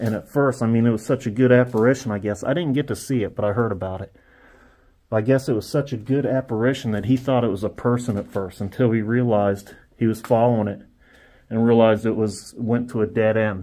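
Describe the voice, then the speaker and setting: With a quiet background behind him, a man speaks at a fairly quick pace. His tone is dark and mellow, his intonation fairly even. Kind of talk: casual vlog chat. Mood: hushed, cautious. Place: hall. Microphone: phone near.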